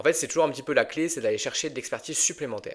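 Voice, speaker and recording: A man is the speaker here. The recording is very clean, its background silent. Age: 30s. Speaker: financial advisor and podcast host. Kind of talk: interview answers, podcast. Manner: conversational with fillers.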